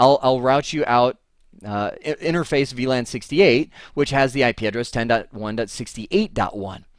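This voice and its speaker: A man speaks in an animated tone at a medium pitch with ordinary pitch variation. The recording is very clean, with a silent background. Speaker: networking instructor. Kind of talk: lecture. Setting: home office. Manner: fast.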